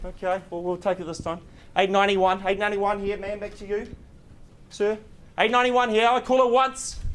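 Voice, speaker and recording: This man talks at a fairly quick pace with a high pitch and fairly even intonation. He leaves long, frequent pauses. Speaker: auctioneer. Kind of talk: live property auction call.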